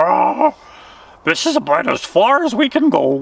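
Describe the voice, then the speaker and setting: Cackling in a put-on character voice, a man talks at a moderate pace and an extremely high pitch. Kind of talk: bedtime story. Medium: read story. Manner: jovial, joking.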